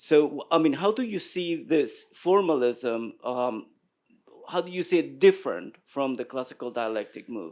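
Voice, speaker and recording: A man speaking at a fairly slow pace, his loudness swinging widely up and down. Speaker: audience member asking question. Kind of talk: academic question. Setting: symposium with audience. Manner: halting, many fillers.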